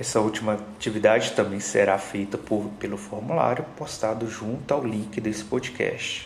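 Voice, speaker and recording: Noticeable background noise sits behind a man with a fairly low pitch. He speaks with fairly even intonation and hardly any pauses. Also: moderate pace. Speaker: school teacher. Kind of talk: educational podcast lecture.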